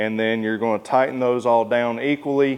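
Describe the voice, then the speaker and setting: Speaking at a moderate pace, a man in a Southern US accent keeps a fairly even intonation. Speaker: motorcycle accessory installer and reviewer. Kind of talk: tutorial. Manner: casual, uses many fillers.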